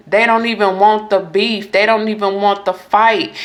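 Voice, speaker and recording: Her medium-pitched voice, a woman's, keeps a monotone, flat intonation. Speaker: tarot reader. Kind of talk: astrology reading monologue.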